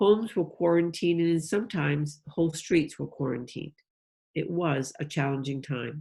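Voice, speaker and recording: Speaking with a New England accent, a woman has a very deep, low voice with a dark, mellow tone and some breathiness. Her pace is moderate and her pitch varies in an ordinary way. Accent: New England (Yankee). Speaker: polio survivor and volunteer advocate. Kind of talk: speech to a club.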